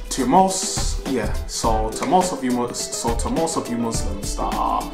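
A man talks fairly slowly while clear music sounds behind him. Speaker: fitness vlogger. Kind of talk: casual vlog chat. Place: home room. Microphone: phone near.

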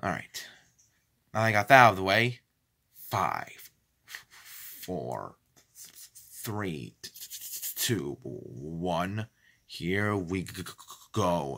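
At a very slow pace with long, frequent pauses, a man speaks in a very deep, low pitch with lively intonation and a bright, sharp tone. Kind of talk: casual vlog chat. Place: home room. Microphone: phone near.

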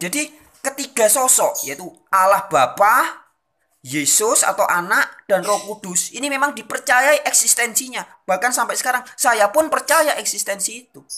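Raised and projected, a man's bright, sharp voice at an extremely high pitch has lively intonation and a moderate pace over a quiet background. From Indonesia. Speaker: religious video channel host. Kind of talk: lecture. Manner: formal, expository. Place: home room. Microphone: phone near.

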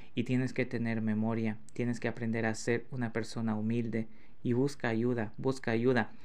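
This man's voice sits at a medium pitch, moving at a moderate pace. The intonation stays monotone and flat. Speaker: YouTube channel host. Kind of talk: angry rant. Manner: indignant, fired-up, repeating rhetorical questions.

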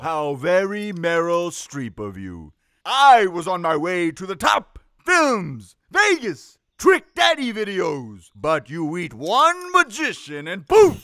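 In a very clean recording with a silent background, a man uses a high-pitched, cartoonish character voice at a fairly slow pace. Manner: theatrical, camp.

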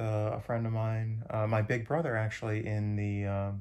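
With monotone, flat intonation, a man speaks at a fairly low pitch. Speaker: hiker vlogger. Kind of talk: casual vlog chat. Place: home room. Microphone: phone near.

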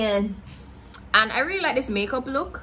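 A woman talks at a fairly quick pace. Light background noise sits behind her. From Jamaica. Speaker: lifestyle vlogger. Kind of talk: casual vlog talk to camera. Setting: at home. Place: home room.

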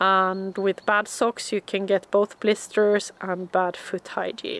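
A woman talks at a very slow pace in a dry sound with no echo. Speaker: outdoor hiking vlogger. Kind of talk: tutorial. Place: forest. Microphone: phone near.

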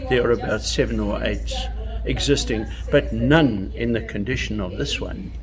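A man talks at a moderate pace with noticeable background noise behind him. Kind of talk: interview answer. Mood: proud, friendly, anecdotal. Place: garage.

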